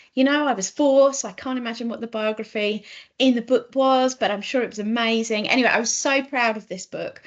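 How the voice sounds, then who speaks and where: In an English accent, a woman speaks at a fairly quick pace with a high pitch and fairly even intonation. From southeast England, Kent. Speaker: children's author. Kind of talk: casual talk to children online. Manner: hesitant, many ums.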